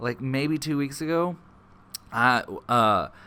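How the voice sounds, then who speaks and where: A man with a Texas accent has a bright, sharp tone and fairly even intonation, on a very clean recording with a silent background. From Paris, Texas area. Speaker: podcast host, photographer/videographer. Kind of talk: casual interview chat.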